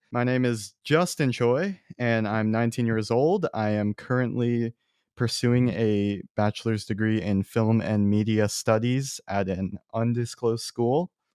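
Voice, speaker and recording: A man in a plain, everyday voice with a medium pitch and ordinary pitch variation talks at a fairly slow pace with hardly any pauses, the sound dry and close with no echo against a quiet background. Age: young. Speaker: podcast host, film student. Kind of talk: casual chat. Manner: casual, conversational.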